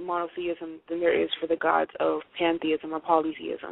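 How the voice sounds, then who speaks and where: A woman with an American accent, fairly low in pitch, at a moderate pace. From Haiti then US from age six. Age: 20s. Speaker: atheist interviewee. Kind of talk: interview. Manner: hesitant with many fillers.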